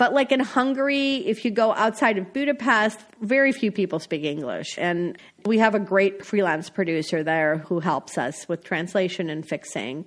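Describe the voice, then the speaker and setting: Her pitch medium and swinging very widely, a woman speaks with an American accent. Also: moderate pace. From US Midwest, North Dakota. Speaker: foreign correspondent. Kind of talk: interview. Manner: conversational, casual.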